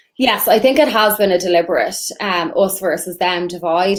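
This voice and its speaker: A woman with an Irish accent speaks over noticeable background noise. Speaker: immigration lawyer. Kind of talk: interview.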